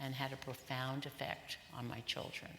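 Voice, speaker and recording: A woman talks fairly slowly with noticeable background noise around her. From Hungary. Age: 70s. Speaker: Holocaust survivor. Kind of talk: public lecture.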